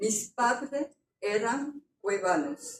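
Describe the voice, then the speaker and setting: Speaking at a very slow pace, a woman with a non-native accent uses a high pitch and lively intonation. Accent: foreign accent in Spanish. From France. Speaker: author. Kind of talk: book presentation talk.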